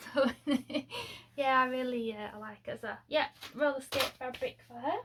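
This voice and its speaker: Speaking at a moderate pace, a woman with a Lincolnshire accent uses a high pitch. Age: 40s. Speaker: sewing vlogger. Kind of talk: casual vlog chat. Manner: chatty, hesitant with many fillers.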